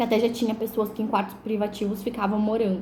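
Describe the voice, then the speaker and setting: With audible room echo, a woman with a fairly high pitch speaks in a dark, mellow tone that is somewhat breathy. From southern Brazil, Porto Alegre (Rio Grande do Sul). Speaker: vlogger. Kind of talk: personal testimony storytelling. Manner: casual, conversational with many fillers.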